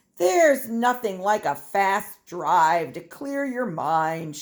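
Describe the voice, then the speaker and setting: A woman in a put-on character voice at a very slow pace. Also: medium pitch for a woman. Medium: read story.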